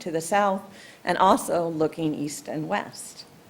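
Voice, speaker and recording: Here is a plain, everyday voice from a woman. She talks at a moderate pace with ordinary pitch variation. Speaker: trail planning presenter. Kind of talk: public meeting presentation. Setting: township commission meeting.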